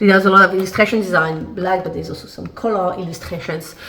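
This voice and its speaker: Noticeable background noise runs under this recording. A woman speaks at a medium pitch with a French accent. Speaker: lifestyle vlogger. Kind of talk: casual haul video. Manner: casual, hesitant with fillers.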